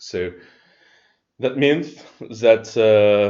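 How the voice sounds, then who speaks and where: A man with a French accent talks at a fairly low pitch with ordinary pitch variation. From France. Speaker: open-source ventilator project member. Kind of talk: technical explanation. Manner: halting, many fillers.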